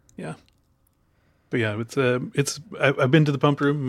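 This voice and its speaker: Somewhat breathy male voice in an American accent, moderately paced with ordinary pitch variation, on a very clean recording with a silent background. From Chicago, US Midwest. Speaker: film podcaster. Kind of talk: casual chat.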